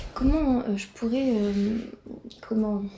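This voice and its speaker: Over noticeable background noise, a woman speaks at a fairly slow pace and a fairly high pitch. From Brittany, France. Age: 20s. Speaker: YouTuber. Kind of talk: casual reaction vlog. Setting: home, alone in living room.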